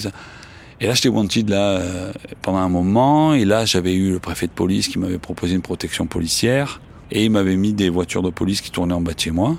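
Very fast speech from a man with a Marseille accent and a fairly low voice. His intonation is lively. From Marseille, France. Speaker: journalist and writer. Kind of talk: interview testimony. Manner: casual, with frequent hesitations.

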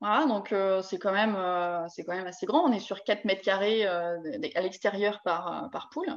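In an unremarkable speaking voice, a woman talks at a fairly slow pace, medium in pitch with ordinary pitch variation. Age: 30s. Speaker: poultry farmer. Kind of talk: casual chat. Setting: live stream.

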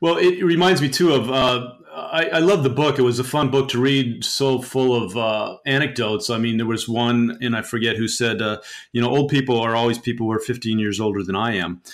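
A man with an unremarkable speaking voice talks at a medium pitch with ordinary pitch variation and hardly any pauses. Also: fairly quick pace. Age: 50s. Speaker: podcast host. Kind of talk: interview.

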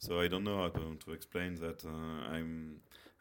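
A man with a French accent speaks in a very deep, low pitch with monotone, flat intonation. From France, Bordeaux. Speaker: teacher of social work students. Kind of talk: interview. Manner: halting.

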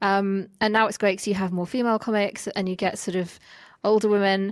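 A woman with a normal speaking voice talks at a fairly quick pace and medium pitch on a very clean recording with a silent background. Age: 30s. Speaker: podcast host. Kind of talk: casual chat.

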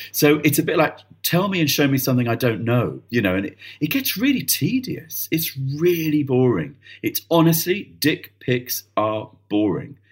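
Somewhat breathy, a man talks at a moderate pace in a fairly high pitch with lively intonation. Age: 50s. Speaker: theatre director. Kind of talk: casual chat.

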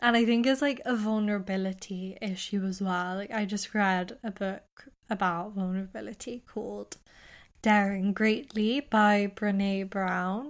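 A woman with a British accent, medium-pitched, at a moderate pace, on a very clean recording with a silent background. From England. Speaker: podcast co-host. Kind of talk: casual chat.

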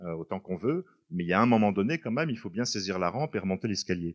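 Here a man speaks fairly quickly, his fairly low voice full of lively intonation. The sound is dry and close with no echo, over a quiet background. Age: 50s. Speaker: writer. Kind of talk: book talk interview. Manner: halting.

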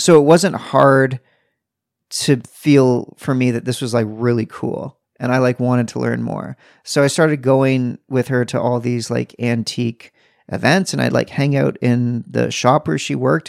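A man with a medium-pitched voice and ordinary pitch variation, an unremarkable speaking voice. The recording is very clean with a silent background and a dry, close sound with no echo. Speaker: podcast host. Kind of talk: casual chat.

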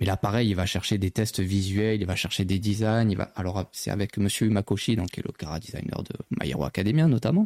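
With an unremarkable speaking voice, a man talks at a fairly quick pace and fairly low pitch with ordinary pitch variation, in a dry, close sound with no echo. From southern France, Marseille. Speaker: magazine editor-in-chief, anime journalist. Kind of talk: casual chat. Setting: live stream studio.

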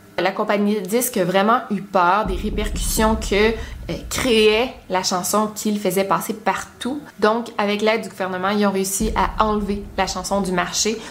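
A woman speaks at a fairly slow pace and medium pitch with monotone, flat intonation and hardly any pauses. Noticeable background noise is present. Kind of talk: creepypasta horror narration, told as a spooky story. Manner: emphatic, stretched repetition for dread.

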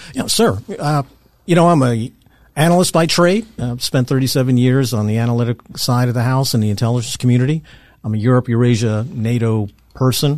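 The speaker talks at a fairly quick pace with an American accent and ordinary pitch variation. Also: man, medium pitch for a man. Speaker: retired intelligence officer. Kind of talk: interview. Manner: halting.

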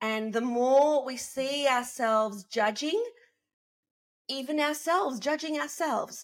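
The voice has an Australian accent, on a very clean recording with a silent background. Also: woman, high pitch for a woman, ordinary pitch variation, fairly slow pace. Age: 50s. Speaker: podcast co-host. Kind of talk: casual chat.

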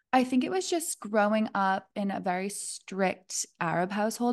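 At a moderate pace, a woman speaks with medium pitch and lively intonation, pausing hardly at all. She has a plain, everyday voice, and the background is quiet. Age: 20s. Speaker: podcast host. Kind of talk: casual interview chat.

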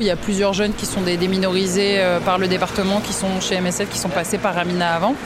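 A woman's medium-pitched voice at a fairly quick pace in a monotone, flat intonation, with noticeable background noise and audible room echo. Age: 20s. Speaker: volunteer with aid association. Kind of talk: field interview.

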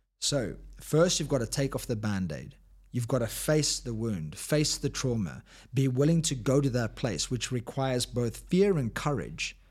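On a very clean recording with a silent background, a man with a South African accent speaks at medium pitch and a moderate pace, sounding animated and somewhat breathy. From South Africa, Cape Town. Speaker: high performance coach and author. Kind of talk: casual interview. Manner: animated, motivational.

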